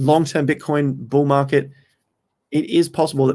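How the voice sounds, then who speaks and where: A man's fairly high voice in an Australian accent, monotone and flat in intonation, at a moderate pace, on a very clean recording with a silent background. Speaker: crypto trading streamer. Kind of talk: live stream chat. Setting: live stream, under studio lights.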